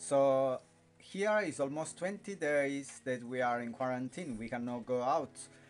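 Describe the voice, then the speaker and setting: A man speaks at a fairly slow pace with a medium pitch and lively intonation. Faint music plays in the background. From Italy. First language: Italian. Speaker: vlogger. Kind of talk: casual talk to camera. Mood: relaxed, a bit weary. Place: home room. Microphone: phone near.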